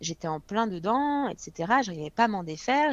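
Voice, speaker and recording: In a dry, close sound with no echo, a woman talks in an ordinary speaking voice. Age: 20s. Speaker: fitness coach. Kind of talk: casual chat.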